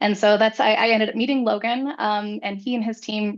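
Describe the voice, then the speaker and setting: A woman talks at a fairly quick pace with a fairly high pitch. Her intonation stays monotone and flat. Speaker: graphic designer. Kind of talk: workshop introduction.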